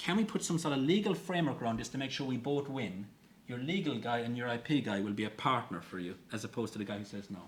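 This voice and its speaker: A very fast, somewhat breathy man's voice in a strong Irish accent, with very wide pitch swings and audible room echo. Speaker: open innovation expert. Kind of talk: conference talk.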